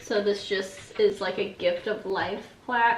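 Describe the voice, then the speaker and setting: A woman's fairly slow speech amid audible room echo and noticeable background noise. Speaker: vlogger, bereaved mother. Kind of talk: casual video walkthrough.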